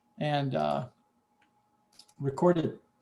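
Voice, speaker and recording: A man speaks with a dark, mellow tone and some vocal fry. His pitch sits fairly high. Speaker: software developer. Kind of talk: software demo in online meeting. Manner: casual, halting.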